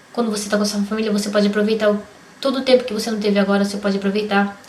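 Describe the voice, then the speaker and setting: A fairly high-pitched woman's voice, very fast and monotone, with flat intonation and noticeable background noise. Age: 30s. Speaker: vlogger. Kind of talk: personal vlog testimony. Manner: casual.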